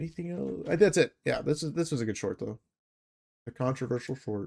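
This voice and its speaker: A man with vocal fry speaks at medium pitch and a fairly quick pace. His intonation is lively, and the sound is dry and close with no echo. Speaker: trading educator streamer. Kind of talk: live stream trade review. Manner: fast; casual, filler-heavy.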